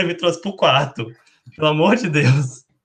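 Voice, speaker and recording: A man's tone is bright and sharp, with ordinary pitch variation. He speaks at a fairly quick pace. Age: 20s. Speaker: nurse and researcher. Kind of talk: panel discussion.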